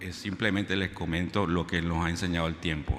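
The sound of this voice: A man talks at a fairly quick pace in a fairly bright tone.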